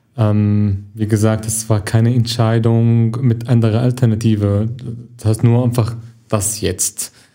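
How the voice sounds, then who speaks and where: A man with an Arabic accent speaks at a fairly slow pace and a medium pitch. His tone is dark and mellow, his intonation monotone and flat. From Syria. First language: Arabic (speaking German). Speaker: actor and film student. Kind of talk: interview. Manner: halting.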